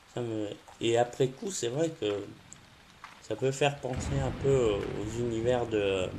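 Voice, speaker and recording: A man at a medium pitch talks very slowly, his pitch moving in a normal way. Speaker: gaming youtuber. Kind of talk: gameplay commentary. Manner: hesitant, many fillers.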